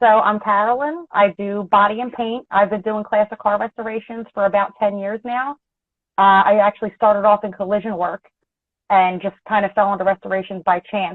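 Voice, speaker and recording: This woman speaks at a fairly quick pace in a medium pitch. Her intonation is fairly even. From Philadelphia, US. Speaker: auto body technician and painter. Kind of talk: casual interview chat. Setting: video call.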